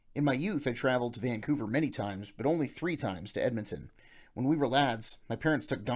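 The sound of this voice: Reading in an unforced voice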